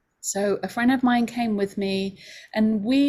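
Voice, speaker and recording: On a very clean recording with a silent background, a woman with an English accent speaks at a fairly slow pace and with fairly even intonation. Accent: English, still noticeable. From London, England. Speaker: homeopathy school director. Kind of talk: open house presentation.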